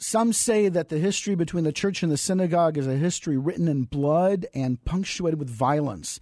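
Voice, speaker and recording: Over a silent background in a very clean recording, a man with a fairly high pitch and a dark, mellow tone talks at a fairly quick pace, with hardly any pauses and ordinary pitch variation. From US South, San Antonio, Texas. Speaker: missionary. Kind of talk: radio interview. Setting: radio studio.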